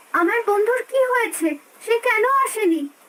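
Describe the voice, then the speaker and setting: A woman uses a squeaky, put-on character voice. Her pitch is extremely high, and she talks at a moderate pace. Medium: cartoon. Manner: gentle, soothing.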